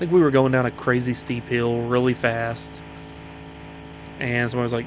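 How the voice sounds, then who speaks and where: With an American accent and a medium pitch, a man speaks at a moderate pace over noticeable background noise. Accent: slight Southern accent, consciously reduced. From US South, Appalachian foothills. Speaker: gaming YouTuber. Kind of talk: let's play commentary.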